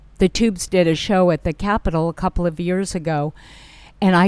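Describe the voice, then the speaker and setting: In a normal speaking voice, a woman with an American accent talks at a moderate pace and medium pitch, the sound dry and close with no echo on a very clean recording with a silent background. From California. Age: 60s. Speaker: public relations director. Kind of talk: interview.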